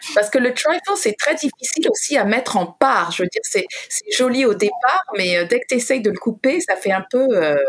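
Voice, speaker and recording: A woman speaks in a high voice with very wide pitch swings. Noticeable background noise runs underneath. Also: moderate pace. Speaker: radio host. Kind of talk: casual chat.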